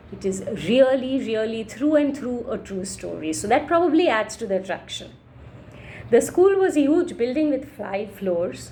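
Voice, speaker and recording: A woman with a Marathi accent, fairly high pitch, very wide pitch swings, a dark, mellow tone, vocal fry and a moderate pace. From India, Maharashtra. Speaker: storyteller. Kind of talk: reading aloud.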